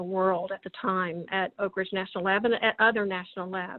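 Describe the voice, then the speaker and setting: Someone with a Tennessee accent speaks in a monotone, flat intonation. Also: woman. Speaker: government science policy official and roboticist. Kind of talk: interview talk about career. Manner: hesitant with many fillers and repetitions.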